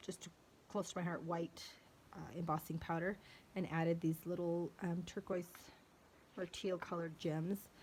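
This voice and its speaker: Monotone, flat intonation at a moderate pace, somewhat breathy, with long, frequent pauses. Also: woman, fairly low pitch for a woman. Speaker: card maker, crafter. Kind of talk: show-and-tell tutorial. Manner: halting, stumbling; hesitant, many fillers.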